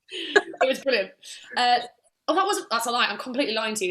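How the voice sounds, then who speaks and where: A woman with an English accent and an animated tone. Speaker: musical theatre actress. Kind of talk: casual interview chat.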